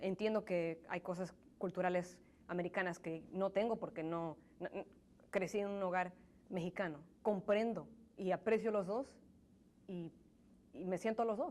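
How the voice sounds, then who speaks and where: At a moderate pace, a woman speaks at a medium pitch with fairly even intonation. She pauses long and often. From grew up in US in Mexican home, born in Pachuca, Hidalgo. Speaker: interviewee, immigrant professional. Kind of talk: interview. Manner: halting, many repetitions.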